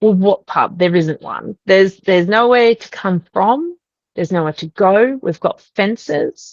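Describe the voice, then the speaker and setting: Woman with an Australian accent, medium pitch and ordinary pitch variation, fairly slow pace, big swings in loudness, dry, close sound with no echo. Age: 40s. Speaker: podcast guest sharing a paranormal experience. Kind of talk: interview testimony.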